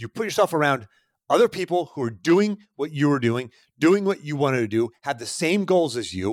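An American accent marks this man's fairly high, animated voice, which has very wide pitch swings and a moderate pace, on a very clean recording with a silent background and a dry, close sound with no echo. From Pittsburgh, US. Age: 40s. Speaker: podcast host, success coach. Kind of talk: solo podcast monologue.

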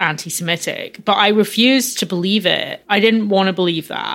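A woman is speaking. She talks in a Glasgow accent. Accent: Scottish (Glasgow). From Scotland, Glasgow. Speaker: music journalist and activist. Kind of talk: interview.

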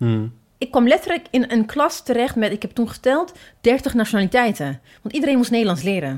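A woman's fairly high voice at a fairly quick pace, with very wide pitch swings, on a very clean recording with a silent background. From Ethiopia, Addis Ababa. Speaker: podcast host and book editor. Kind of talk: casual chat.

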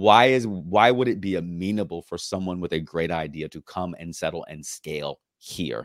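A man with an American accent speaks at a moderate pace in a very deep, low voice. The sound is dry and close with no echo, on a very clean recording over a silent background. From Norfolk, Virginia. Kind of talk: podcast interview.

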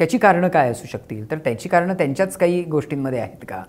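A man's high-pitched voice with lively intonation. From Kolhapur, Maharashtra, India. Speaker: novelist and playwright. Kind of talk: interview conversation.

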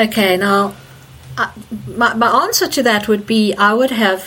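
Noticeable background noise accompanies a woman who speaks at a fairly slow pace. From Zimbabwe. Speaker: energy healer. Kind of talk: interview. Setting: remote call.

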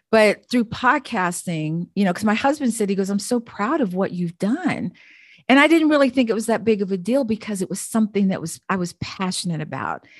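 Against a quiet background, a woman at medium pitch talks fairly quickly, somewhat breathy, with lively intonation. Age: 60s. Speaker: Air Force veteran and podcaster. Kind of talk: casual chat. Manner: animated.

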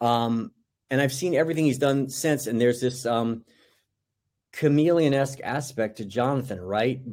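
In an American accent, a man talks at a medium pitch and a moderate pace, with ordinary pitch variation. The recording is very clean, with a silent background. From US South. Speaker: film director. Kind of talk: interview. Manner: halting, many fillers.

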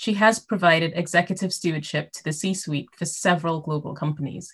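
Fairly low in pitch and somewhat breathy, a woman speaks at a very fast pace. Her intonation stays fairly even. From Caribbean. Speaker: podcast host. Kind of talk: interview; scripted introduction.

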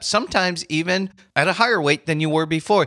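Captured in a very clean recording with a silent background, a man speaks at a high pitch with a bright, sharp tone. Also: dry, close sound with no echo. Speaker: podcast host and life coach. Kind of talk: motivational monologue.

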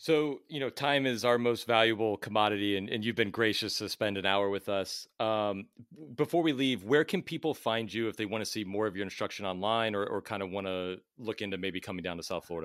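Recorded very cleanly against a silent background, a man speaks in an unremarkable speaking voice, fairly low in pitch, with ordinary pitch variation. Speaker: tennis podcast host and coach. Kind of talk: interview, casual conversational.

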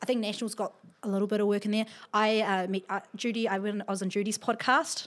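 A woman with a New Zealand accent and a fairly high pitch speaks very fast in a flat, monotone way. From New Zealand, Wellington. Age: young. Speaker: entrepreneur. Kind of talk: interview.

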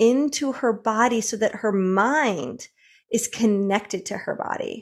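A woman with an American accent, a normal speaking voice, fairly high pitch and ordinary pitch variation, on a very clean recording with a silent background. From US Midwest, Michigan. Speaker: tantra coach. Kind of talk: interview.

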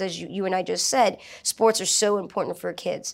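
A woman with an American accent and a normal speaking voice, her intonation fairly even. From New Orleans, US South. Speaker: martial arts instructor and entrepreneur. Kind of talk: casual interview.

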